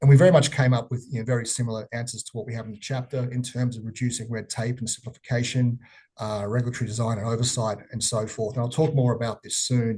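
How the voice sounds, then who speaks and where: Talking at a very fast pace, a man with an Australian accent keeps a flat, monotone intonation at medium pitch, his dark, mellow, somewhat breathy voice swinging widely in loudness. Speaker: economist presenting research. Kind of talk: webinar presentation. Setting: online webinar. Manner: halting with many fillers.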